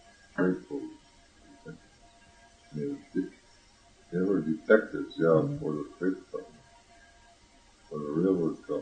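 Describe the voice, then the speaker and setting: A man speaks fairly slowly, pausing often and at length, while music plays in the background. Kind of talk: interview answer. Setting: home cassette recording. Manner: hesitant.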